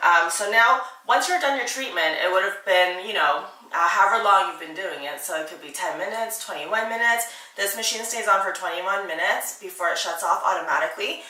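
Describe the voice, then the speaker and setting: A woman with a medium-pitched voice and ordinary pitch variation speaks while noticeable background noise is present. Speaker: beauty tutorial host. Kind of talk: casual tutorial talk to camera.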